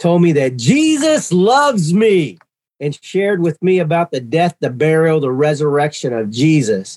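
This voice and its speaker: With an ordinary speaking voice, a man talks at a fairly slow pace and a fairly high pitch, recorded dry and close with no echo. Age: 60s. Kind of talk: testimony.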